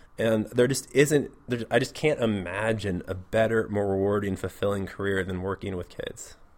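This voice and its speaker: A man with a West Coast US accent, fairly low-pitched, at a moderate pace with ordinary pitch variation. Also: hardly any pauses. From US Pacific Northwest, Portland, Oregon. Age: 30s. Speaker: middle school teacher. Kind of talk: interview.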